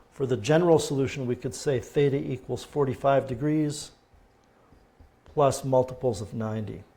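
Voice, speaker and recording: A man speaks with a somewhat breathy voice. The recording is very clean, with a silent background. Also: medium pitch for a man, ordinary pitch variation, moderate pace. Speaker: math teacher. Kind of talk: lecture. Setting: livestream.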